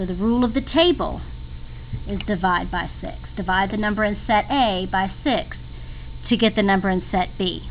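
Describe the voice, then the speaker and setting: This is a woman speaking at medium pitch. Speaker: math teacher. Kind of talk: tutorial. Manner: fast.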